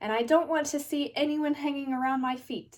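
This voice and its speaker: Using a put-on character voice, a woman speaks high in pitch. Her pace is fairly quick and her intonation fairly even. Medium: read story.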